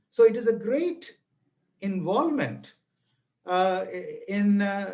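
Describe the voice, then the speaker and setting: A man with a Tamil accent speaks in a high pitch with lively intonation, and room echo can be heard. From Tamil Nadu, India. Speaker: language teaching speaker. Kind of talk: webinar lecture. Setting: online video webinar. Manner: animated.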